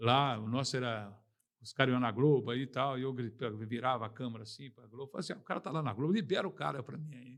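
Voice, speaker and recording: A man rattles along at a very fast pace, keeping a medium pitch and ordinary pitch variation. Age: 60s. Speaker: veteran journalist. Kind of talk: interview. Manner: animated.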